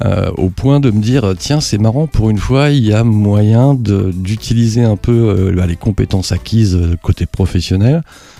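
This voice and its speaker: Fairly slow, fairly low-pitched speech from a man in a normal speaking voice with ordinary pitch variation. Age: 50s. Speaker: aeroclub president and private pilot. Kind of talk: podcast interview.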